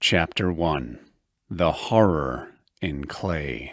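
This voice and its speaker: Vocal fry with ordinary pitch variation, in a very clean recording with a silent background. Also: man. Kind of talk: audiobook horror narration.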